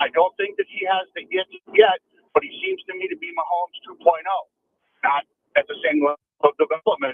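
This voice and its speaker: A man talks at a fairly quick pace, with long, frequent pauses. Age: 60s. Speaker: caller, Chiefs fan. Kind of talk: sports radio call-in opinion. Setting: phone call.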